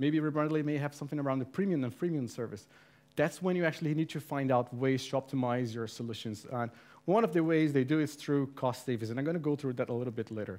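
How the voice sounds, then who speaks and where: The man's voice sits fairly high as he rushes along at a very fast pace. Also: ordinary pitch variation, quiet background. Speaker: community manager giving a talk. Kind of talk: conference talk. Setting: meetup with live audience. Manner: casual.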